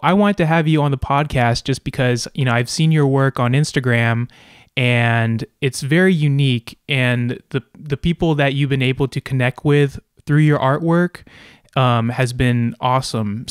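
Against a quiet background, a man talks at a moderate pace with ordinary pitch variation. The sound is dry, with no echo. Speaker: podcast host. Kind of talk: interview questions. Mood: friendly, laughing. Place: home room. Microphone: studio mic.

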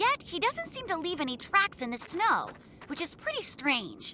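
A cartoonish character voice with a bright, sharp tone, very wide pitch swings and a moderate pace over faint background noise

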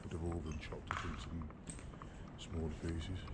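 A man talks over loud background noise. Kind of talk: casual exploration commentary. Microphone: phone near.

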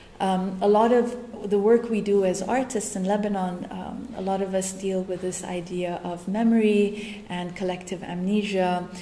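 Delivery is monotone and flat, at a moderate pace with hardly any pauses. Light background noise and audible room echo surround it. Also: woman, medium pitch for a woman. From Nigeria. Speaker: artist. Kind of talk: lecture. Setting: stage with audience. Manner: casual, hesitant with many fillers. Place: meeting room. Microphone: camera far.

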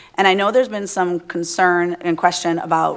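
A woman talks at a fairly quick pace and medium pitch, with noticeable background noise behind her. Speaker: city council member. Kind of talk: council meeting remarks. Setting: council chambers. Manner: halting.

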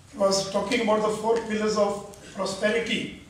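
A man speaks at a moderate pace in a high pitch, his intonation fairly even. Audible room echo surrounds his voice. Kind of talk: formal speech to an audience. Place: hall.

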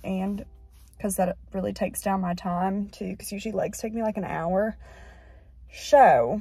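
A woman speaks in a dry sound with no echo. Faint music plays in the background. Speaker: vlogger. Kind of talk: casual vlog chat. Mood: slightly anxious, a bit rushed. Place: car. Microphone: phone near.

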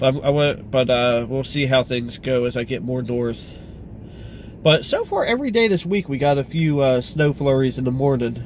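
A man talks with ordinary pitch variation. The sound is dry with no echo, over light background noise. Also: moderate pace. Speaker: car vlogger. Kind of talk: casual vlog chat. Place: car. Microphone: phone near.

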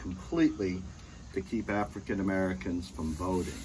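Light noise sits behind speech delivered at a fairly quick pace. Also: man. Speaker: history teacher. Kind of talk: lecture. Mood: earnest, somber. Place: home room. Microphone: phone near.

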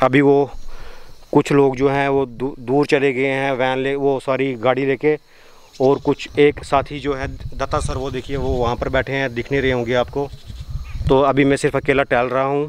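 Over light background noise, a man talks at a fairly slow pace in a monotone, flat intonation, the sound dry with no echo. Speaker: travel vlogger on a geology field trip. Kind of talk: casual vlog chat. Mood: relaxed, thankful. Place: open country. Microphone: phone near.

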